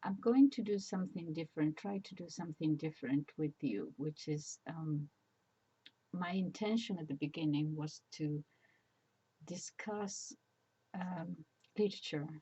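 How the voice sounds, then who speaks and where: Somewhat breathy speech in a Spanish accent, fairly slow, with lively intonation, big swings in loudness and long, frequent pauses. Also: woman, fairly low pitch for a woman. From Spain. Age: 70s. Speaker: retired teacher. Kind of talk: casual personal monologue. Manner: halting, many fillers.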